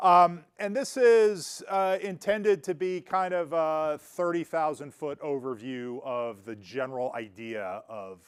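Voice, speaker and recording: The voice is loud and swings very widely in pitch, moving at a fairly slow pace with hardly any pauses. The recording is very clean, with a silent background. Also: man, fairly high pitch for a man. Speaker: physics professor. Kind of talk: lecture. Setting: room with live audience. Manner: many filler words and hesitations.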